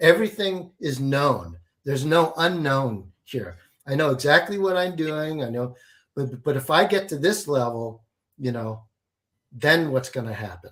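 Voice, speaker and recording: A man's normal speaking voice at a fairly high pitch, with lively intonation and a fairly slow pace. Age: 60s. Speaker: alchemy and business coach. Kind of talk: interview.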